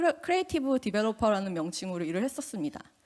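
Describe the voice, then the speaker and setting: Fairly high in pitch, a woman speaks with lively intonation. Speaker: UX engineer, conference speaker. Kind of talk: conference talk. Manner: casual, with fillers.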